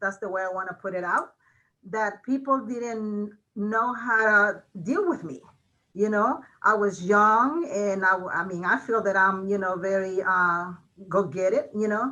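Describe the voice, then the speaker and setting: A woman talks at a fairly slow pace with an ordinary amount of pitch variation. Her tone is bright and sharp, with a Mexican accent. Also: medium pitch for a woman. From Mexico. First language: Spanish. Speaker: college registrar. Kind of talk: interview. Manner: many fillers, hesitant.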